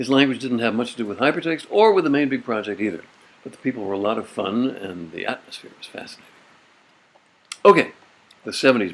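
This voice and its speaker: Against clearly audible background noise, the man's words come out very fast. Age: 80s+. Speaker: computing pioneer, hypertext inventor. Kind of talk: personal memoir talk to camera.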